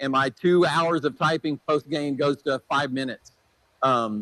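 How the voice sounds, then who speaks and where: An ordinary speaking voice from a man, with fairly even intonation at a moderate pace, in a dry, close sound with no echo. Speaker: software presenter. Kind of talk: product demo at a clinic. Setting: clinic presentation with audience.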